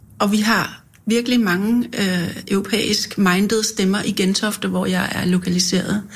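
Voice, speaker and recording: There is noticeable background noise behind a woman's medium-pitched voice. She speaks at a fairly slow pace with monotone, flat intonation. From North Zealand, Denmark. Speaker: politician and bookseller. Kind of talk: casual chat. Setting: studio.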